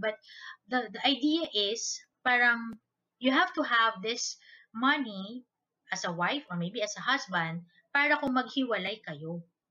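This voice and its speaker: A woman talks at a fairly high pitch with lively intonation and big swings in loudness. Music plays in the background. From Philippines, Manila. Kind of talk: casual solo talk with book reading.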